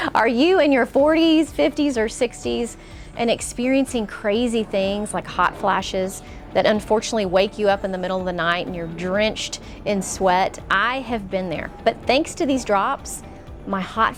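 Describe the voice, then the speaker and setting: A woman's lively intonation at a moderate pace, with music in the background. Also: medium pitch for a woman. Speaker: podcast host. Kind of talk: sponsored product read.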